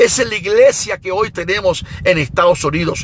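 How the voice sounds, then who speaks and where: With an animated tone and a high pitch, a man speaks at a moderate pace with ordinary pitch variation over noticeable background noise. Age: 60s. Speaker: evangelist preacher. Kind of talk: sermon.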